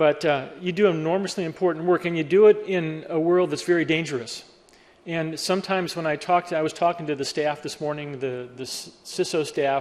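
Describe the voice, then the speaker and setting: With an American accent and fairly even intonation, this ordinary speaking voice moves at a fairly quick pace. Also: man, fairly high pitch for a man. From Western Pennsylvania, Pittsburgh. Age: 60s. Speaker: cybersecurity speaker. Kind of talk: keynote talk.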